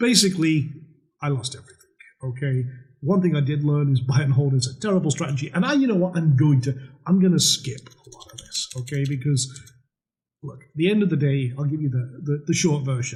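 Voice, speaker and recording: A somewhat breathy man with a Scottish accent, fairly high pitch, ordinary pitch variation, an animated tone, big swings in loudness and a fairly quick pace. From Scotland, northern isles. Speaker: trading educator. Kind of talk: webinar sales pitch. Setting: webinar with webcam. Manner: casual, animated.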